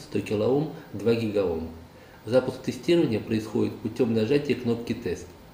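A man speaks at a moderate pace with ordinary pitch variation. Audible room echo and light background noise are present. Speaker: presenter. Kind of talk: scripted product review. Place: workshop.

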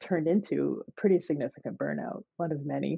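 Over a quiet background, this woman talks at a moderate tempo. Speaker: podcast guest. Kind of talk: interview answer. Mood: warm, smiling, reflective. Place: home room. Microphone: webcam.

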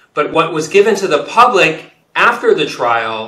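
Audible room echo colors this recording. The man in it speaks fairly slowly. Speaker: guest. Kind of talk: interview answer. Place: office. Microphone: webcam.

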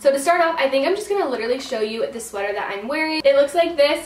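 A woman's voice carries audible room echo, with music in the background. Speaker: style vlogger. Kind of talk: casual vlog chat. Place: home room.

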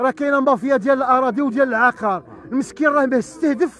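With an eastern Moroccan accent, this voice moves at a fairly quick pace with ordinary pitch variation, in a dry sound with no echo over light background noise. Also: man. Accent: Moroccan Arabic, eastern Oujda dialect. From Morocco. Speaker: resident interviewed in street report; interviewee. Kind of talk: street interview complaint. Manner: animated. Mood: angry, pleading. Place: street. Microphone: handheld.

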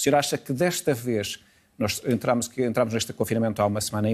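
A man talks at a fairly quick pace. His pitch varies an ordinary amount. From Portugal. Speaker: TV interviewer. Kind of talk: TV interview. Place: studio. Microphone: lapel.

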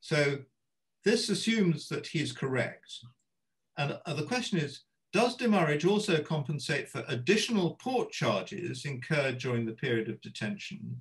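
A somewhat breathy voice at a moderate pace with very wide pitch swings, over a quiet background. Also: man. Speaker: retired judge and arbitrator chairing webinar; retired judge. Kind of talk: moderating panel discussion. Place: home room. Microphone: video call.

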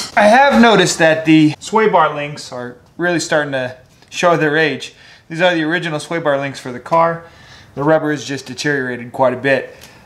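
A man is speaking here. His pace runs fairly quick. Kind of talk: casual vlog tutorial. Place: garage. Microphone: phone near.

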